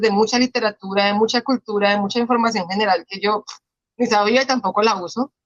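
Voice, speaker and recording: A woman with a Colombian accent talks at a fairly quick pace and fairly high pitch, in a dry, close sound with no echo. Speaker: podcast host. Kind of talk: interview.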